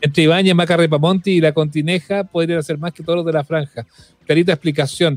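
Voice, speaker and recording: With a Chilean accent, a man speaks at a fairly quick pace in a high, monotone voice with flat intonation, the sound dry and close with no echo. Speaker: podcast host. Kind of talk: casual chat.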